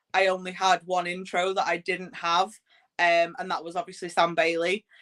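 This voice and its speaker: A woman's medium-pitched voice with an English accent, at a moderate pace. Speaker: podcast host and wrestling ring announcer. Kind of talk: interview. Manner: loud; casual, filler-heavy.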